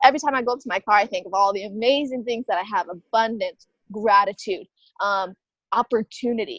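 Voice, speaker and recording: A woman talks at a fairly quick pace in an animated tone, her fairly high voice showing ordinary pitch variation. The sound is dry and close, with no echo. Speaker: online fitness coach and mindset mentor. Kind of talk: interview. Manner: fast.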